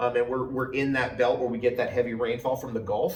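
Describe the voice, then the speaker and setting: Against noticeable background noise, a man talks very fast at a medium pitch. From New Jersey, US. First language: Farsi. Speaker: health and plant expert, farmer. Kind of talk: interview conversation. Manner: enthusiastic.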